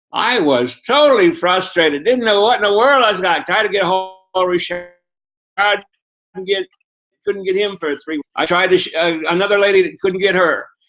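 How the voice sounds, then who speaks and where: A man speaks at a moderate pace with a high voice. His pitch varies in an ordinary way. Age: 70s. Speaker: network marketing distributor giving testimony. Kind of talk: testimony. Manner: animated. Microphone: internet connection froze.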